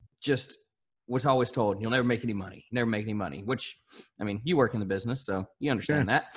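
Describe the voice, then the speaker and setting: In a Southern US accent, a man at medium pitch talks at a very fast pace with ordinary pitch variation. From southern Arkansas. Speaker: country radio host. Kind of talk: casual interview chat.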